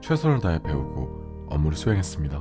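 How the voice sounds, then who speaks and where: With music playing in the background, a man speaks at a fairly quick pace. His tone is soothing and calm, with very wide pitch swings. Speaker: radio-style host / voice actor narrator. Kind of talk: late-night radio monologue, personal reflective talk. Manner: soothing, soft, calm, sleep-aid tone.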